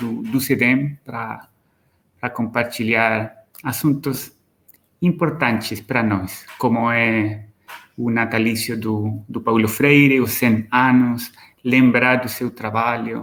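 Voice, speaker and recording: Speaking at a very slow pace, a man uses a medium pitch and fairly even intonation with a bright, sharp tone. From Chile. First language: Spanish (speaking Portuguese). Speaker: professor. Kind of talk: lecture. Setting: video call. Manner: halting, frequent repetitions and fillers.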